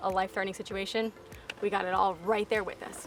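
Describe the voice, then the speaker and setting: A woman speaks in a monotone, flat intonation with music in the background. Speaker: fishing vlogger. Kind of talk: casual chat.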